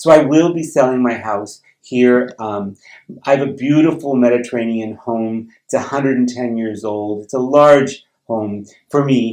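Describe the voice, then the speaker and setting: Speaking fairly slowly at a medium pitch, a man shows ordinary pitch variation and big swings in loudness. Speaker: retiring teacher and vlogger. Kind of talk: personal vlog. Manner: hesitant, many fillers.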